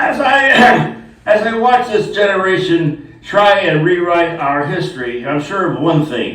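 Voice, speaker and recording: A man speaks at a fairly slow pace with noticeable background noise and audible room echo. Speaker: retirement community resident. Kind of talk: humorous monologue. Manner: halting.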